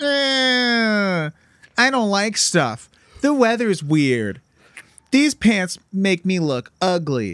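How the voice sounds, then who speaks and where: A put-on character voice at a middle pitch drags along at a very slow pace, whiny in tone, with very wide pitch swings. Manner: whiny, complaining.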